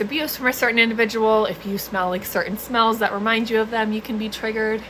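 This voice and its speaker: Amid noticeable background noise, a woman with an American accent talks at a very fast pace in a fairly high pitch with fairly even intonation. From US East Coast. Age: 20s. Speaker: mental health content creator, trauma survivor. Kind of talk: live stream chat. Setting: live stream. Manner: casual, filler-heavy.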